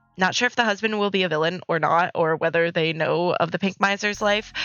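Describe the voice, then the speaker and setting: A woman at a moderate pace, music in the background. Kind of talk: speed art commentary, scripted read.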